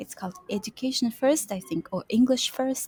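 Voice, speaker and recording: Dry and close with no echo, a somewhat breathy voice with a dark, mellow tone and ordinary pitch variation speaks with a Kazakh accent. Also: woman. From Kazakhstan. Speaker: UX and UI designer, freelancer. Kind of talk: interview. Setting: co-working space, video call. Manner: halting, with fillers.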